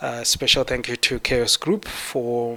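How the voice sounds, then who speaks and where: With a Zimbabwean accent, a man speaks at a medium pitch. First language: Shona. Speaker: 3D artist. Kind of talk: conference talk.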